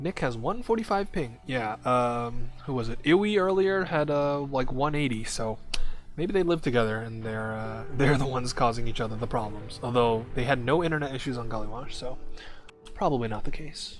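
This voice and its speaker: Lively intonation from a man at a medium pitch, with audible room echo and music in the background. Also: moderate pace. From Hong Kong. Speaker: esports caster. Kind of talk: live commentary. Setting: livestream. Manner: casual.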